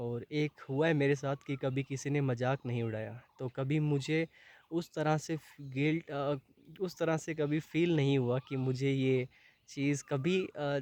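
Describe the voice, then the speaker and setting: A man speaks at a very slow pace with fairly high pitch. The sound is dry and close, with no echo. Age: 20s. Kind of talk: personal talk to camera.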